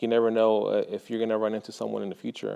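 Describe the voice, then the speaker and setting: A man is talking. His speech carries a Spanish accent. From Mexico (Guadalajara), raised in Texas from age seven. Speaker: high school art teacher. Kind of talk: interview testimonial. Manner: hesitant, many fillers.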